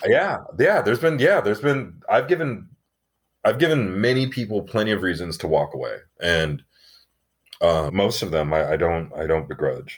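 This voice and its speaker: Pitch swings very widely in an American accent at a moderate pace. It is a very clean recording with a silent background. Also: man, fairly low pitch for a man. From Arizona (Tucson). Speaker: actor. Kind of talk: casual chat.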